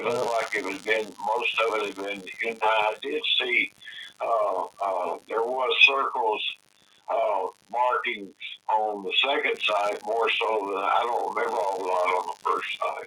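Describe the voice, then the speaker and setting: A man talks at a fairly slow pace. He has a Tennessee accent. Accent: Southern US (Tennessee). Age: 70s. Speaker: eyewitness. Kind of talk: interview recollection. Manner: halting, many fillers and repetitions.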